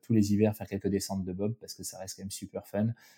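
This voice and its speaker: Recorded very cleanly against a silent background, a man speaks in a flat monotone at a fairly low pitch, his tone dark and mellow and the sound dry and close with no echo. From Alsace, France. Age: 30s. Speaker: bobsleigh pilot. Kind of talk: interview. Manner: halting, many fillers.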